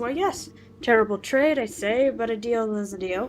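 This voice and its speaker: A woman puts on a wheezy character voice with a fairly high pitch. She speaks at a moderate pace over clear background noise. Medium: game stream. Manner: pompous.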